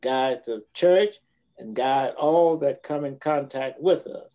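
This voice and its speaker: A dark, mellow tone with ordinary pitch variation comes through over a quiet background. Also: man. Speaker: pastor. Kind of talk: prayer. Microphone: video call.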